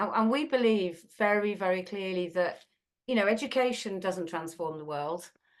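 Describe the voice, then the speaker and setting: A woman speaks with a British accent at a moderate pace. Her intonation is lively. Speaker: school trust leader. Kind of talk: presentation. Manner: animated.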